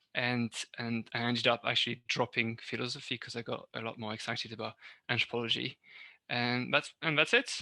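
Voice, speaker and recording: A man with a French accent and a bright, sharp tone, at a fairly quick pace, in a very clean recording with a silent background and a dry, close sound with no echo. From northern France. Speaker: university lecturer. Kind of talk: interview. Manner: halting, many fillers.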